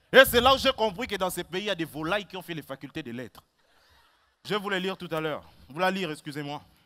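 In a bright, sharp, animated and theatrical tone, the voice races along very fast with lively intonation and big swings in loudness, broken by long, frequent pauses. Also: man, high pitch for a man. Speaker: stand-up comedian. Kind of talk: stand-up comedy, comic monologue with a read-out mock farewell letter from a rooster. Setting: stage with audience. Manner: animated, theatrical, playing the rooster with comic voices. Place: stage.

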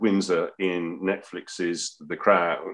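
A man speaks very slowly with an English accent. The background is quiet. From England. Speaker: interviewer. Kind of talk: interview. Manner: halting. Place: home room. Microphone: video call.

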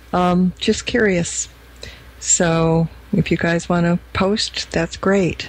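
A woman with a fairly low pitch speaks very slowly in a monotone, flat intonation. Background noise is noticeable. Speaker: radio host. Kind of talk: radio interview.

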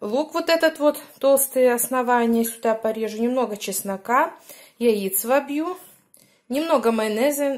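The background is quiet. The voice shows ordinary pitch variation. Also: woman, high pitch for a woman. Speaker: home cook vlogger. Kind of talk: casual cooking vlog chat. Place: kitchen. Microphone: phone near.

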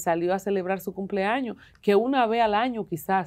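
A woman against a quiet background. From Dominican Republic. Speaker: morning show host. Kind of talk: talk show commentary. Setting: studio. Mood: indignant, emotional. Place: studio. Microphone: lapel.

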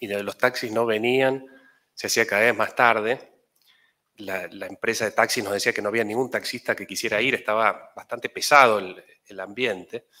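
At a moderate pace, a man talks with a bright, sharp tone and fairly even intonation against a quiet background. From Tucumán, Argentina. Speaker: journalist. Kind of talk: acceptance speech. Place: hall. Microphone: podium.

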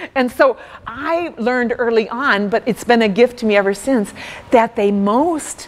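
A normal speaking voice from a woman with an American accent, fairly high pitch, lively intonation and a fairly slow pace. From US Midwest, rural farm background. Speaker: speaker. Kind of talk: workshop talk. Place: hall.

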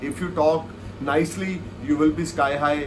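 A man's fairly high voice amid noticeable background noise. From India. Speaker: astrologer. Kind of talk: video monologue of astrological forecasts. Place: home room. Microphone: earbuds.

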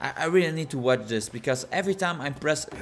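Over noticeable background noise, a man with a fairly high pitch for a man speaks at a moderate pace. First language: non-native English speaker. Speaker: gaming YouTuber. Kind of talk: gameplay commentary. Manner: casual.

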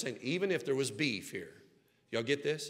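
With a Southern US accent, a man talks at a fairly quick pace in an animated, bright, sharp tone. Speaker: pastor. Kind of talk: sermon. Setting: church sanctuary with congregation. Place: church. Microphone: headset.

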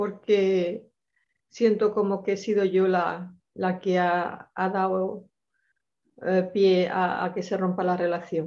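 Against a quiet background, a woman speaks at a very slow pace in a dark, mellow tone with monotone, flat intonation. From Granada, Spain; Spain. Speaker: participant; caller. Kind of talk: personal testimony. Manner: halting. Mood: sad, hesitant, emotional. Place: home room. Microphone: video call.

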